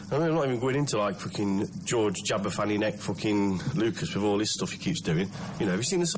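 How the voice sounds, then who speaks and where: A man with a British accent speaks very fast in a fairly low voice, his intonation lively. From UK. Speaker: listener calling in with voicemail. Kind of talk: recorded voicemail.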